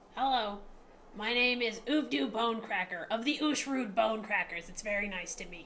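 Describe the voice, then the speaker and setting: A female-sounding put-on character voice, fairly high in pitch and at a moderate pace, over clear background noise. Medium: actual play.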